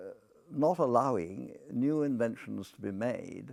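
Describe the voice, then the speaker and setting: A man with an English accent. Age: 80s+. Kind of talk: monologue to camera. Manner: halting, with frequent fillers.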